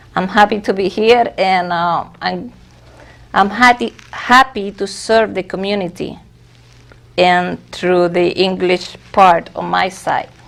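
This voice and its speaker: The voice moves at a very slow pace. Its pitch varies in an ordinary way. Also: woman, medium pitch for a woman. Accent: Spanish. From Venezuela. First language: Spanish. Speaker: church officer. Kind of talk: interview.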